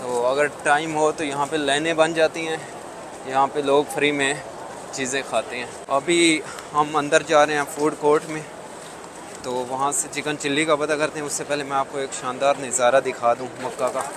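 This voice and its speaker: Over noticeable background noise, a man talks fairly slowly in a flat monotone, the sound dry with no echo. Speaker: travel vlogger. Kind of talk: casual vlog chat. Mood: cheerful, curious. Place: street. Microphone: lapel.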